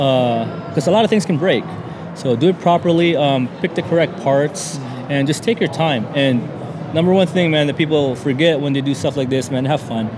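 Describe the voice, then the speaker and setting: Over noticeable background noise, a man with an American accent speaks in a relaxed tone at a fairly high pitch and moderate pace with ordinary pitch variation. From Southern California (El Centro). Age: 30s. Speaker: car enthusiast. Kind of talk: casual interview. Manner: relaxed, many fillers.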